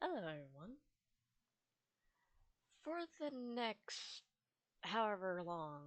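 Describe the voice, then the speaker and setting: A woman speaks very slowly at a medium pitch, her voice swinging very widely up and down. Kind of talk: casual gameplay commentary. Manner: rambling.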